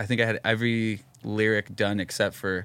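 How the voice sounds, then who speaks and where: In an American accent, a man speaks with an unremarkable speaking voice at a fairly low pitch. The pace is moderate, and the recording is very clean with a silent background. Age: 30s. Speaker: rock singer. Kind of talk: casual chat.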